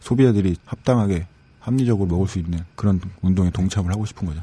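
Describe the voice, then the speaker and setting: A man talks at a very fast pace with a fairly low pitch. His tone is dark and mellow, with ordinary pitch variation. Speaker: cafe team leader, coffee expert. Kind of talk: casual chat, drinking session. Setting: studio.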